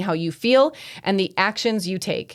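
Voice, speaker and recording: A woman uses a normal speaking voice with lively intonation. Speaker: financial coach and podcast host. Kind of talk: solo podcast teaching. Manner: conversational, frequent 'right?' and 'okay?' tags.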